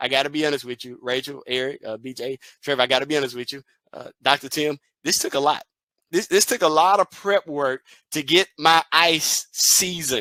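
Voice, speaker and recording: Fairly quick and animated, the speaker uses a Southern US accent and a bright, sharp tone with big swings in loudness, recorded very clean with a silent background and a dry, close sound with no echo. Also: man, fairly high pitch for a man, ordinary pitch variation. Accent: Southern country. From Mississippi, US South. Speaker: educational consultant and motivational speaker. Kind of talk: keynote speech. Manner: animated, repetitive emphasis.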